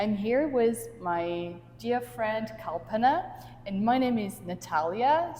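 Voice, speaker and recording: A woman with a Russian accent. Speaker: life coach and podcast host. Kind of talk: casual conversation. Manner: halting.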